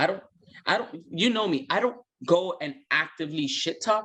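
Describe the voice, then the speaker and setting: Loud and lively in intonation, a man with a high pitch and a bright, sharp tone talks at a moderate pace. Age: 30s. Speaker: flag football player. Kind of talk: casual interview.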